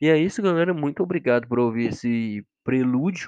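Recorded with a dry, close sound and no echo, a man with an unremarkable speaking voice talks at a moderate pace with lively intonation. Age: 20s. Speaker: podcast host, psychology student. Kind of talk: casual solo monologue.

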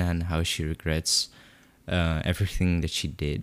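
The speaker has a non-native accent and talks at a moderate pace. The sound is dry and close with no echo, on a very clean recording with a silent background. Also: man. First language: not English. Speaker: podcast co-host. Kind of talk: casual chat.

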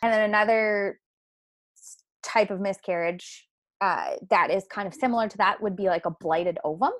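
On a very clean recording with a silent background, a woman with a Canadian Maritime accent speaks at a fairly quick pace in a medium pitch. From rural Nova Scotia, Canada. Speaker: naturopathic doctor. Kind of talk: interview conversation.

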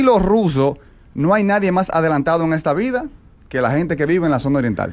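A man is speaking. His pitch swings very widely. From Dominican Republic, Santiago (Cibao region). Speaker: comedian. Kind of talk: comedic monologue.

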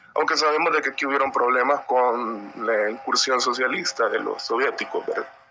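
At a moderate pace and with hardly any pauses, a man talks over noticeable background noise. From El Salvador, San Miguel. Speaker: audience participant. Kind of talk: opinion comment.

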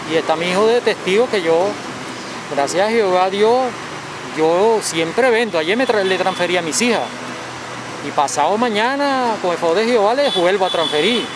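Over noticeable background noise and audible room echo, a man speaks at a moderate pace with a high pitch, very even loudness and long, frequent pauses. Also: ordinary pitch variation. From Venezuela. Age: 40s. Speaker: street coffee vendor. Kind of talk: interview.

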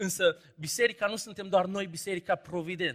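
Pitch moves normally as a man talks in a bright, sharp tone. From Romania, Banat (Caraș-Severin, Anina). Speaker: preacher. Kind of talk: sermon.

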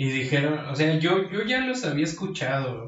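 The speaker talks at a moderate pace in a Mexican accent. Pitch varies in an ordinary way. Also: man. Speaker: podcast co-host. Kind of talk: casual chat.

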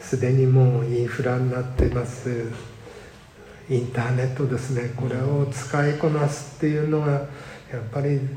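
A man in a flat monotone at a moderate pace, with noticeable background noise and audible room echo. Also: medium pitch for a man. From Japan, Sendai area. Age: 70s. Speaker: community welfare council chair, retired civil servant. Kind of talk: interview. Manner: halting, many fillers.

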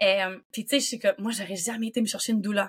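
A woman speaks in a Quebec accent. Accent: Québécois French. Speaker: doula. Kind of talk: casual chat.

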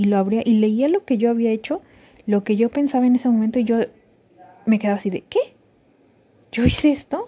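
A woman with a fairly high pitch and ordinary pitch variation speaks at a fairly quick pace. She leaves long, frequent pauses. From Mexico. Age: 30s. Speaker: podcaster. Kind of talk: personal testimony. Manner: halting.

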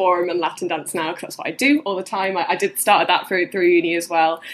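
There is noticeable background noise in this clip. The speaker is a woman. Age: 20s. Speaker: cancer research scientist and former beauty queen. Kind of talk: interview.

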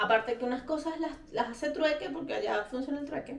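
At a moderate pace, a woman with a Venezuelan accent talks at high pitch with ordinary pitch variation. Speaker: podcast co-host. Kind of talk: casual chat.

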